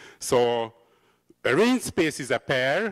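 A man at a very slow pace against a quiet background. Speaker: lecturer. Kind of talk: lecture. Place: hall. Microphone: handheld.

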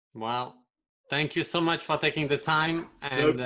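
A man with a French accent, fairly high-pitched and bright, sharp in tone, at a fairly slow pace with fairly even intonation against a quiet background. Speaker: interviewer hosting an online talk for a film and art school. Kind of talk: polite, simple English as a second language. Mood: warm, thankful. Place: home room. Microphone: studio mic.

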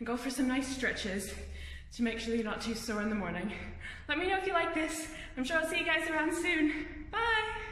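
Audible room echo surrounds the voice. The pace is fairly quick. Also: woman. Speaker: fitness instructor. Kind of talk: workout video sign-off. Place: gym. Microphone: camera far.

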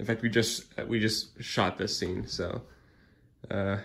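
A man with a fairly low pitch and vocal fry speaks at a fairly slow pace with ordinary pitch variation. Light background noise can be heard. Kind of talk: casual vlog chat. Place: home room. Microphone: phone near.

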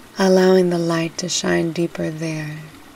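A woman's soothing, fairly low voice in a monotone, flat intonation, with noticeable background noise. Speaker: meditation guide. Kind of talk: guided meditation, hypnobirthing. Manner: soft, slow, soothing.

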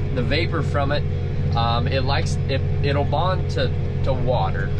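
Background music accompanies the speech. The man delivers his words at a moderate pace. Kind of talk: casual vlog chat. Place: farm machine. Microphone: phone near.

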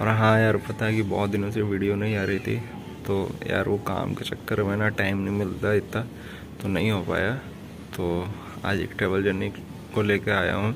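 At a moderate pace, the speaker uses monotone, flat intonation with long, frequent pauses, over noticeable background noise. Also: man, fairly low pitch for a man. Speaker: travel vlogger. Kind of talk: casual vlog chat. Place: home room. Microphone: phone near.

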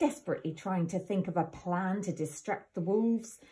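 An unforced reading voice with pitch that moves by ordinary degrees

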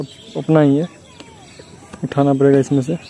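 The tone is dark and mellow, with little pitch movement. The pace is moderate. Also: man.

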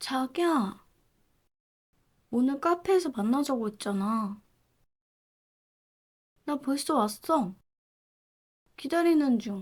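A woman uses a put-on character voice, high-pitched and breathy, with lively intonation. She talks at a fairly slow pace, leaving long, frequent pauses. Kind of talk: roleplay audio drama. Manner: breathy, close.

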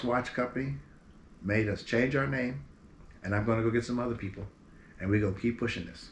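A man speaks with an American accent in a somewhat breathy voice, with ordinary pitch variation. Light background noise is present. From Berkeley, California; California. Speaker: singer. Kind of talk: interview. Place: home room.

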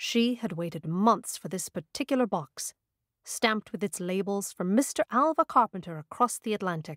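A woman uses an ordinary speaking voice with lively intonation at a medium pitch. The recording is very clean, over a silent background. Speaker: audiobook narrator. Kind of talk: audiobook narration.

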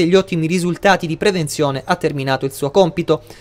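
A high-pitched man speaks very fast, his pitch moving with ordinary variation. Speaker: news anchor. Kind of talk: formal newsreading, anchor links introducing each report. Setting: studio. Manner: measured, crisp broadcast delivery.

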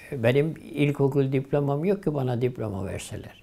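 The voice has a dark, mellow tone. It moves at a very slow pace. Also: man. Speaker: retired imam. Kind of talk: oral history interview answer. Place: home room. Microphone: lapel.

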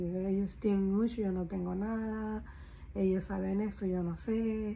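A somewhat breathy woman's voice with a dark, mellow tone and fairly even intonation, over light background noise. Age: 50s. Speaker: caregiver and vlogger; vlogger. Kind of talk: casual personal vlog. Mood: reflective, somewhat worried. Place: home room. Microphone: phone near.

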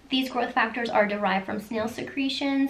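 A woman talks at a high pitch over light background noise. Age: 30s. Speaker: skincare YouTuber. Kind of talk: tutorial. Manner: animated. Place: home room.

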